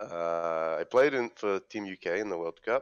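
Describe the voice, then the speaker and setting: Fairly slow, very deep and low speech from a man, with ordinary pitch variation. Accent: British. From London, UK. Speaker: esports player. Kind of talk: casual interview. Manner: hesitant, many fillers.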